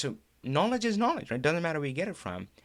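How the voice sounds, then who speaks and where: The recording is very clean, with a silent background. A man speaks in an animated tone with vocal fry. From India. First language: Hindi. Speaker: Power BI trainer and live show host. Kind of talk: live stream talk.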